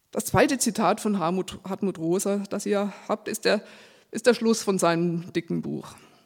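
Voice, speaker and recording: A fairly slow delivery with ordinary pitch variation, on a very clean recording with a silent background. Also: woman, medium pitch for a woman. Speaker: preacher. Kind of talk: sermon. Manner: reading from a script.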